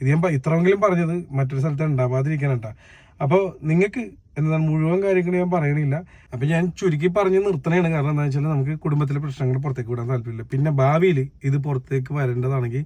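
The speaker is a man with a fairly high pitch and a dark, mellow tone. His voice is somewhat breathy. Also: ordinary pitch variation. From Kerala, Kakkanad area (Kochi). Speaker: YouTuber. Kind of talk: monologue.

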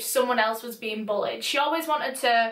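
In a room with audible echo, a woman talks at a fairly quick pace with ordinary pitch variation. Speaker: youtuber. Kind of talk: true crime storytelling vlog. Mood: calm, serious. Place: home room.

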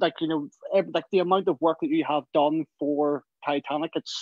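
With a Belfast accent, a man speaks at a fairly quick pace in a fairly high pitch. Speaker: fan asking a question. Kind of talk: live Q&A on a video call. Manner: halting, many fillers.

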